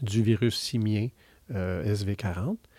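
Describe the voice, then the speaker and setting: A man speaks with a dark, mellow tone. The sound is dry and close with no echo, on a very clean recording with a silent background. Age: 50s. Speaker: university professor and researcher. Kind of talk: interview. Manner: halting, frequent repetitions and fillers.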